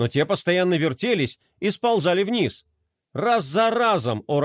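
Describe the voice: The surroundings are quiet. Someone reads aloud plainly, intonation lively.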